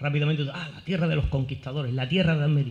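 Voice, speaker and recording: A man speaks with a Sevillian accent at a fairly high pitch. His pitch varies in an ordinary way. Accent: Seville Andalusian Spanish. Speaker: academic, course director. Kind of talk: formal opening speech. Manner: formal; hesitant, with fillers and repetitions.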